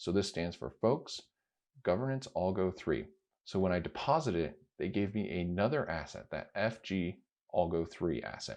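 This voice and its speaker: Over a quiet background, a man with a very deep, low pitch and vocal fry speaks at a moderate pace with lively intonation. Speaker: crypto video creator. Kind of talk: screen-recorded tutorial.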